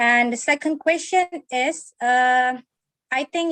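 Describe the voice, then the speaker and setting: In an Indonesian accent, a woman with a high voice speaks very slowly with ordinary pitch variation, the sound dry and close with no echo. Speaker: university lecturer. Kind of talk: webinar audience question. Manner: halting.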